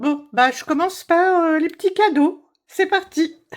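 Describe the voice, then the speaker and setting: A woman speaks at a fairly slow pace. Her tone is animated. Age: 50s. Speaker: cross-stitch hobby vlogger. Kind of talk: casual unboxing vlog. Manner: animated, chatty with many fillers.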